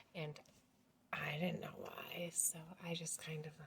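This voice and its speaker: Speaking at a very slow pace, a woman with an American accent sounds somewhat breathy, her intonation monotone and flat. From rural US. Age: 40s. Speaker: family vlogger. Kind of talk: casual vlog talk to camera. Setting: at home. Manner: talking quieter than usual; hesitant, many fillers.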